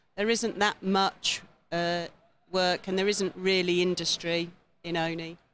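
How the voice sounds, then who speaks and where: A woman speaks with an English accent at a medium pitch. Her intonation is monotone and flat, and her pace is fairly slow. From England, Olney (Buckinghamshire). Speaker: visiting guest. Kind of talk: TV interview.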